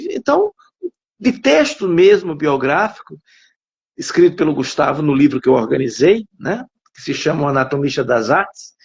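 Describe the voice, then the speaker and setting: A man's voice with very wide pitch swings. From Alagoas, Brazil. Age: 60s. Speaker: writer and psychologist. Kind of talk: interview. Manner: halting.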